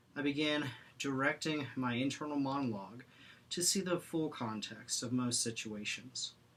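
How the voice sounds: A man talks at a moderate pace in a medium-pitched, fairly bright voice with ordinary pitch variation, with audible room echo around him.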